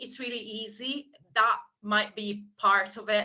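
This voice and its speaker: A woman talks at a fairly slow pace with a medium pitch. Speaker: business owner. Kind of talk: casual interview chat. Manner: hesitant, fillers.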